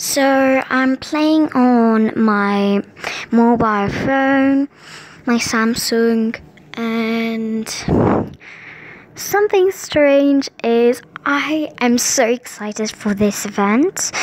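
A high-voiced woman speaks very slowly with long, frequent pauses and very even loudness. Her pitch varies in an ordinary way, and the sound is dry with no echo. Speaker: gamer. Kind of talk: casual gameplay commentary.

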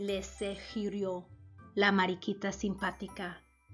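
Plain reading aloud is all this clip holds.

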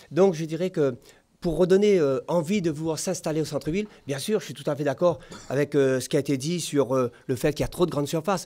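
A man talks at a fairly quick pace with a fairly high pitch and a dark, mellow tone. His pitch variation is ordinary. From Réunion. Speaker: mayoral candidate; candidate. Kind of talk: political debate; political debate answer. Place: studio. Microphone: studio mic.

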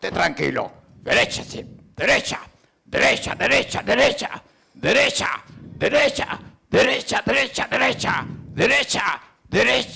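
A man performs in a put-on character voice. He leaves long, frequent pauses. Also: moderate pace. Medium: comedy sketch. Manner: commanding, bossy.

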